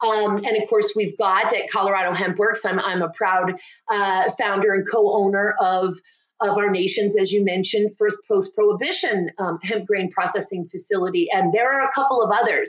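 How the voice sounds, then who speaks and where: A woman with an unremarkable speaking voice talks at a medium pitch and moderate pace, her intonation fairly even and her loudness very even. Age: 50s. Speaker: hemp industry consultant. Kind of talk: interview.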